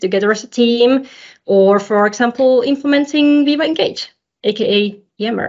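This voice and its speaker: Speaking with a Finnish accent at a fairly slow pace, a woman shows ordinary pitch variation. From Finland. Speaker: modern work consultant. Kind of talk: casual chat.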